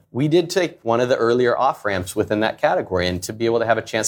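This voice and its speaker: With an American accent, a man speaks in a normal speaking voice at a fairly quick pace, using ordinary pitch variation. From US Pacific Northwest (Portland, Oregon). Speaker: startup founder and CEO. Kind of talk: live interview on stage.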